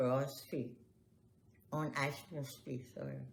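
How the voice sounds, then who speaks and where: A woman speaks with a very deep, low pitch. There is audible room echo. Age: 80s+. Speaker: family elder interviewee. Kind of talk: oral history interview.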